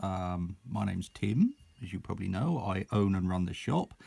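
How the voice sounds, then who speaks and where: Spoken with an Essex accent at a moderate pace, the voice shows ordinary pitch variation. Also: man. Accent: broad Essex. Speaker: miniatures shop owner. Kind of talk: casual product video talk.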